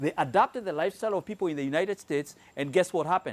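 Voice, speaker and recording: Animated in tone, a man with a Kenyan accent talks at a very fast pace with lively intonation in a dry, close sound with no echo. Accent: Kenyan accent, noticeable. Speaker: health product presenter. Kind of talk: sales presentation to live audience. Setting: room with live audience.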